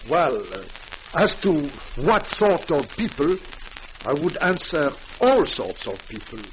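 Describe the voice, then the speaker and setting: Amid noticeable background noise, a man with a high pitch speaks fairly slowly with lively intonation and long, frequent pauses. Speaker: French guest speaker, doctor, broadcast talk. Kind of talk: formal radio address / interview answer.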